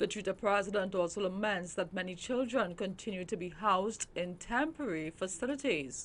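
A woman's plain, everyday voice at a medium pitch, with lively intonation, a fairly quick pace and hardly any pauses. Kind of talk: news reading. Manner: formal, even and polished.

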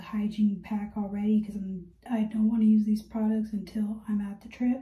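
Her voice has a dark, mellow tone. The woman speaks at a fairly high pitch and sounds somewhat breathy. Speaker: vlogger. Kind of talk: casual vlog monologue. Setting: outdoors on a walk.

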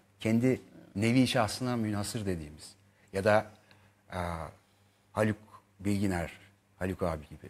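A man speaks at a moderate pace in a fairly low pitch with ordinary pitch variation. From Turkey. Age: 40s. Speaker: actor; actor guest. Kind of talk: interview chat; interview answer. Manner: hesitant with many fillers. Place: studio. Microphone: lapel.

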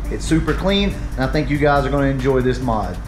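Music plays in the background. Over it, a man speaks very fast. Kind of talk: casual tutorial vlog chat. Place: garage. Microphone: phone near.

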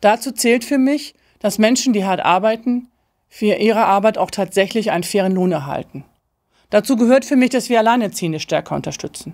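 At a fairly quick pace, a woman speaks in a fairly high voice with ordinary pitch variation against a quiet background. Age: 50s. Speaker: political candidate; candidate. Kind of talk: campaign speech. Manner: formal. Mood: earnest, committed. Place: studio.

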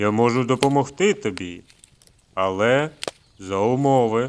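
A man speaks at a moderate pace in a put-on character voice with a medium pitch. The voice is booming. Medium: read story. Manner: menacing, ominous.

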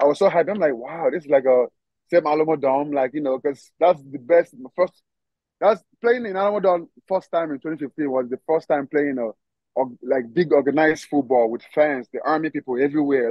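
A man with a Nigerian accent talks at a fairly quick pace in a fairly high pitch, with ordinary pitch variation, a dry sound with no echo and a quiet background. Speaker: professional football player; guest. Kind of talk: casual interview. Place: garden. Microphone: video call.

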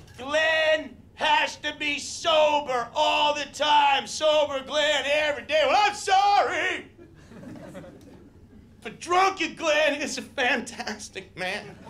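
Over light background noise, a man shouts at an extremely high pitch and a very slow pace, his pitch varying in an ordinary way. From Canada. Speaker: stand-up comedian. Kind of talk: stand-up comedy set. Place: stage. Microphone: handheld.

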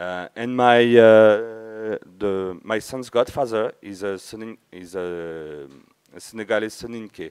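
This man talks at a very slow pace in a French accent. His pitch sits fairly low, and the background is quiet. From France (Verdun area, east). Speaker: conference speaker, community member. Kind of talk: conference talk. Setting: stage with audience. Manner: halting. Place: hall.

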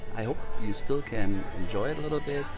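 A man talks at a fairly quick pace, and the sound is dry with no echo. Music plays clearly in the background. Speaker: podcast host. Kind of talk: casual podcast narration. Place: booth.

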